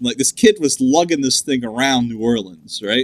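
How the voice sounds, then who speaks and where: A man with an American accent speaks at a moderate pace in a fairly high pitch, his bright, sharp tone making very wide pitch swings in a dry, close sound with no echo. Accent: southern US accent, usually suppressed. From US South. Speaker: gaming podcast co-host. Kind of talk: casual chat. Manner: many filler words (uh, like).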